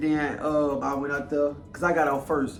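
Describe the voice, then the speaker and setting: A man speaks with an American accent, and the room echo is audible. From Louisiana. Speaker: YouTuber. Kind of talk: casual chat.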